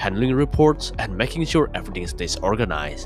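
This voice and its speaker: A man talks at a fairly quick pace. There is music in the background. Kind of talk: video essay narration.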